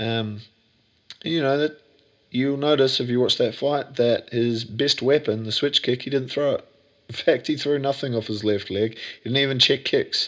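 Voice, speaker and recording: Speaking at a moderate pace in a medium-pitched voice, a man with an Australian accent keeps his intonation fairly even. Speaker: gym owner and podcaster. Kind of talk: casual solo podcast monologue. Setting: home, sitting on bed. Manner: casual, jokey, rambling.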